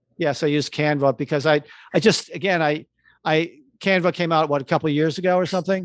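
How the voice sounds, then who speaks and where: Speech comes at a very fast pace with very even loudness and fairly even intonation. The sound is dry and close with no echo, over a quiet background. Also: man, fairly high pitch for a man. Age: 60s. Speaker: advertising creative. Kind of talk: interview.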